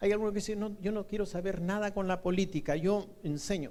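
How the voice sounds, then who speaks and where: Audible room echo surrounds a man who speaks at a fairly quick pace in a high voice. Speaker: university lecturer. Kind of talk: lecture.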